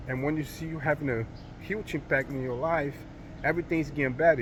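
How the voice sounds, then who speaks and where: A man's somewhat breathy voice moves at a fairly quick pace, his intonation fairly even. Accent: non-native. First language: not English. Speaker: motivational vlogger. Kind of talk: motivational monologue. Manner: halting, many fillers.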